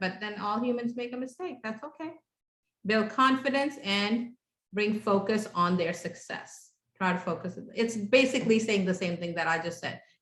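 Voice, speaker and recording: With a non-native accent, a woman talks at a moderate pace in a medium pitch with ordinary pitch variation. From came to the US at age ten, grew up in Houston, Texas. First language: not English. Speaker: parenting class instructor. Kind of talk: interactive workshop class. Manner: conversational, with many fillers.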